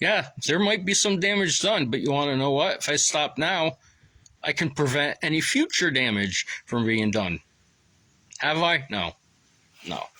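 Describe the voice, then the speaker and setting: A man talks at a moderate pace, captured on a very clean recording with a silent background. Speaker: vlogger. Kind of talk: casual monologue. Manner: halting, many fillers.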